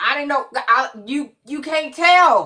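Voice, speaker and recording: A woman's raised, projected voice, high in pitch, animated, with a bright, sharp tone. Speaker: live stream host. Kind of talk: casual chat. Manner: loud.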